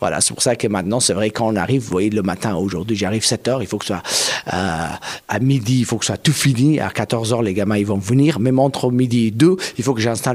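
A man talks at a very fast pace with medium pitch and ordinary pitch variation. Noticeable background noise is present. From Afghanistan. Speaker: kite maker and performer. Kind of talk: interview.

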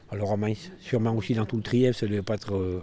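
Pitch varies in an ordinary way. Noticeable background noise is present. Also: man. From Mens, Trièves, French Alps. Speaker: local resident. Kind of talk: interview testimony.

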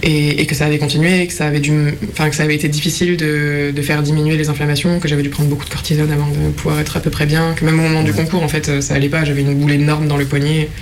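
Amid audible room echo and noticeable background noise, a woman speaks at a very fast pace with hardly any pauses, very even loudness, a very deep, low pitch and monotone, flat intonation. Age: 20s. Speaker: person living with a chronic autoimmune disease. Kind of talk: documentary interview testimony. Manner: halting, frequent repetitions.

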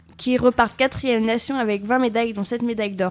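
A woman's fairly high voice, with fairly even intonation, comes through over noticeable background noise. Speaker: radio news presenter. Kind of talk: newsreading. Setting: studio. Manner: formal; brisk, even-paced headline delivery.

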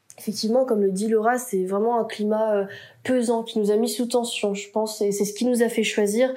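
The speech comes at a moderate pace in a flat monotone, with audible room echo. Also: woman, fairly high pitch for a woman. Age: 20s. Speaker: university student. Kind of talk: casual chat.

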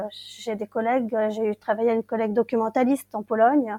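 A woman's fairly high voice with a dark, mellow tone, fairly quick in pace, on a very clean recording with a silent background and a dry, close sound with no echo. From Brittany, Finistère. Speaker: English teacher. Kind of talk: interview.

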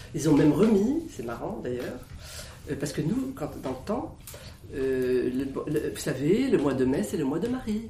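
A woman speaks at a fairly slow pace with very wide pitch swings, her voice carrying audible room echo over noticeable background noise. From France, Isère. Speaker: villager recalling childhood. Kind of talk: oral history interview.

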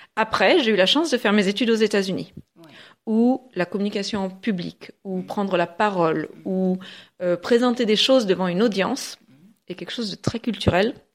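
The recording is very clean with a silent background. A woman talks at a moderate pace with medium pitch and ordinary pitch variation. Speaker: public speaking trainer. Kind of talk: radio interview. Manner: fluent.

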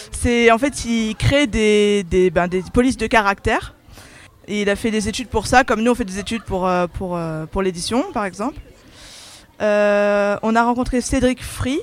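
A woman's fairly high-pitched, fairly slow speech, with ordinary pitch variation and long, frequent pauses. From Alsace. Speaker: graphic design student. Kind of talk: interview. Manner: hesitant.

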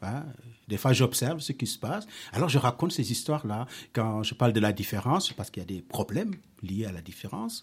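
A man's somewhat breathy, medium-pitched voice at a fairly quick pace with lively intonation, on a very clean recording with a silent background. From Senegal. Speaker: storyteller and musician. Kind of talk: interview answers to schoolchildren. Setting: school.

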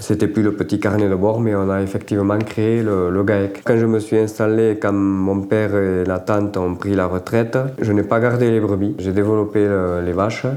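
With a fairly low pitch and monotone, flat intonation, a man speaks at a moderate pace and very even loudness amid audible room echo and noticeable background noise. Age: 50s. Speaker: farmer. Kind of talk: interview.

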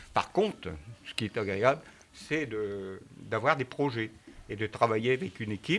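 A man talks at a very slow pace, his pitch fairly low and its variation ordinary. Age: 60s. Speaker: mayor. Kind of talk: interview answering schoolchildren.

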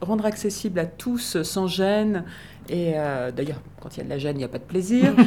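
Her voice is a woman's, fairly low in pitch, with lively intonation and big swings in loudness. Noticeable background noise and audible room echo fill the recording. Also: moderate pace. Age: old. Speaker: actress and reader. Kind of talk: interview.

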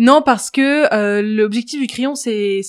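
Recorded very cleanly against a silent background, a woman speaks at a fairly high pitch with ordinary pitch variation. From France, Paris. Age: 20s. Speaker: media entrepreneur. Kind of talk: interview.

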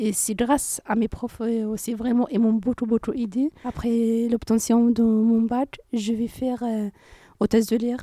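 Speaking very slowly with a North African accent, a woman has a dark, mellow tone and monotone, flat intonation in a dry, close sound with no echo. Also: fairly high pitch for a woman. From Morocco, Rif region; moved to France at 13. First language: Berber (speaking French). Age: 20s. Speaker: university student. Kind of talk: interview.

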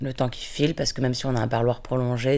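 Vocal fry marks this woman's voice. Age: 40s. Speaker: prison visitor. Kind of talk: testimony. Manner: halting.

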